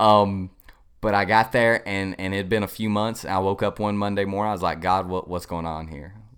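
Speech moves at a moderate speed. Its intonation is fairly even. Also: man, fairly low pitch for a man. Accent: Southern US. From US South, upstate South Carolina. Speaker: pastoral resident. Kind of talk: casual interview, personal testimony.

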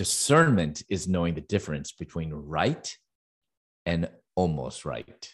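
Vocal fry runs through speech at a fairly slow pace with ordinary pitch variation and long, frequent pauses in a very clean recording with a silent background. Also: man, very deep, low pitch for a man. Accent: American. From Chicago, US Midwest. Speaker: Bible teacher and author. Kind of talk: interview. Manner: halting, many fillers.

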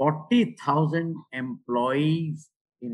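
This is a man speaking. He has an Indian accent. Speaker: retired bank executive and author. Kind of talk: interview. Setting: remote call. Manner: halting.

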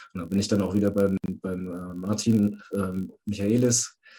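A man with a fairly low, dark, mellow voice talks at a fairly slow pace in a monotone, flat intonation. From Hesse. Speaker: caller, father. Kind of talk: testimony.

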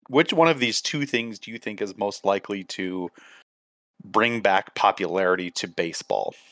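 With an ordinary speaking voice and an American accent, a man talks at a moderate pace with lively intonation and big swings in loudness on a very clean recording with a silent background. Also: fairly low pitch for a man, dry, close sound with no echo. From Minnesota. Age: 30s. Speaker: podcast co-host. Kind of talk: casual sports chat.

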